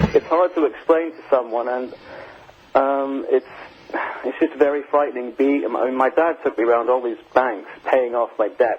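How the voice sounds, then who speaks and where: A man's medium-pitched voice at a moderate pace, ordinary pitch variation, noticeable background noise. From outside the UK. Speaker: caller, former compulsive gambler. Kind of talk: phone-in testimony. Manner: halting, many repetitions; animated, emphatic.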